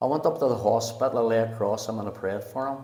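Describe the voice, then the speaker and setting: In a Belfast accent, a man speaks at a very fast pace with a dark, mellow tone and audible room echo. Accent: Belfast Northern Irish. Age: 70s. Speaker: pastor. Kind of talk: testimony. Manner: halting.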